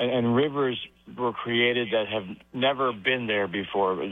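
This man speaks at a fairly slow pace with medium pitch. His intonation is fairly even.

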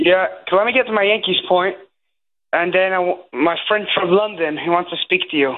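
A man's high voice at a fairly quick pace, with ordinary pitch variation

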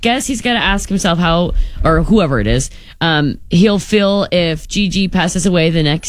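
With lively intonation, this is an unforced reading voice.

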